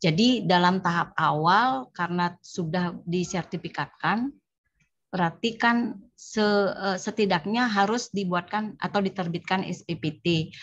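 A woman speaks at a medium pitch with ordinary pitch variation and a fairly slow pace. Her voice is somewhat breathy, and her loudness stays very even. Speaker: tax office employee. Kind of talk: training discussion. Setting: video call.

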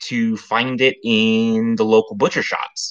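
Against a quiet background, a man speaks at a very slow pace. His tone is bright and sharp, with ordinary pitch variation. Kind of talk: casual livestream chat. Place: kitchen. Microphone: webcam.

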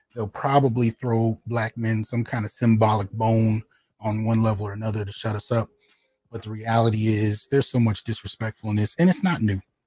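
A man's somewhat breathy, dark, mellow voice at a fairly quick pace, dry with no echo. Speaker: channel host. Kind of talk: livestream commentary. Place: home room. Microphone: studio mic.

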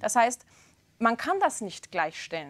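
The speaker is a woman with a fairly high voice. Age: young. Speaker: talk show presenter. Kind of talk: TV debate. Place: studio.

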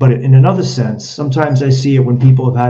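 A man at medium pitch, somewhat breathy, dark and mellow in tone, at a fairly quick pace. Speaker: podcast host; interview host. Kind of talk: casual interview. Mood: engaged, conversational. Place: home room. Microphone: webcam mic, broken microphone; video call.

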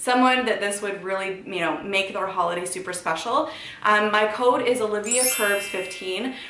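Music plays in the background, with audible room echo. A woman speaks at a moderate pace with ordinary pitch variation. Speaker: fashion vlogger. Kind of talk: casual vlog chat. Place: home room. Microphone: camera far.

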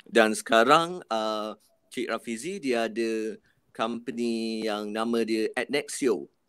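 The pace is very slow. The sound is dry, with no echo. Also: man, ordinary pitch variation, quiet background. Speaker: college head of department; panelist. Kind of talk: live-stream panel talk. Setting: video call from the college. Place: home room. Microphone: video call.

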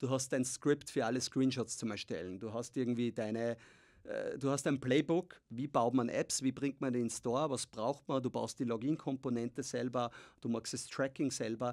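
A man's moderately paced speech, with fairly even intonation, sits over a quiet background. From Austria. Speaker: tech founder and investor; podcast guest. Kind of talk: interview. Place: studio. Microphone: studio mic.

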